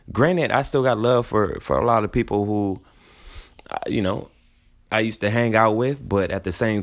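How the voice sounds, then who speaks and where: A man with an American accent speaks at a moderate pace with ordinary pitch variation, on a very clean recording with a silent background. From San Antonio, Texas. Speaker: podcast host. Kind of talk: casual solo monologue. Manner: animated.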